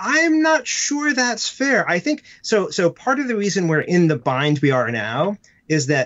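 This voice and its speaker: In a normal speaking voice, a man with an American accent talks at a moderate pace with lively intonation. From United States. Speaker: comedy writer and children's book author. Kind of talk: casual interview.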